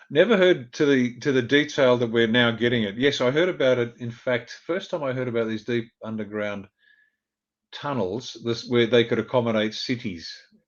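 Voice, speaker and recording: The speaker is a man with an Australian accent and a medium pitch. He talks at a moderate pace with ordinary pitch variation. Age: 60s. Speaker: former army officer. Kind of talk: interview.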